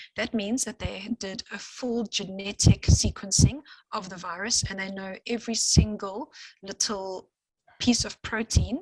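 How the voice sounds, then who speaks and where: In a strong English accent, a woman of medium pitch sounds somewhat breathy, her intonation fairly even. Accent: heavy English accent in Afrikaans. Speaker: scientist. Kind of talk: lecture. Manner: fast.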